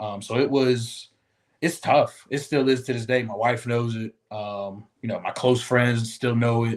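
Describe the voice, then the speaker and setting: With an American accent, a man speaks in an ordinary speaking voice. His pitch is medium and his pace fairly slow. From Ohio, Cincinnati area. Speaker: podcast guest. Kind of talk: casual interview chat.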